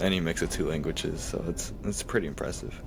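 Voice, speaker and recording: A man with an American accent speaks at a very deep, low pitch with vocal fry. Audible room echo surrounds his voice. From United States. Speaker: podcast host. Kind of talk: podcast interview. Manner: casual, conversational.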